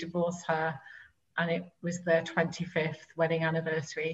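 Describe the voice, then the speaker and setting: A woman with a British accent, fairly low in pitch and somewhat breathy, at a moderate pace with monotone, flat intonation. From UK. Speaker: life coach. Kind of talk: interview.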